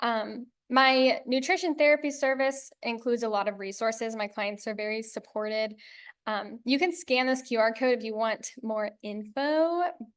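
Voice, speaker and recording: A woman speaks in a plain, everyday voice at a moderate pace. Her pitch is fairly high with ordinary pitch variation, against a quiet background. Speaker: nutritionist. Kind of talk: educational presentation.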